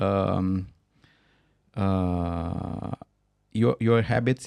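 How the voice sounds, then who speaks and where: A man's very deep, low voice in a Romanian accent, with ordinary pitch variation and long, frequent pauses. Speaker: company founder. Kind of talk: interview. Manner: halting.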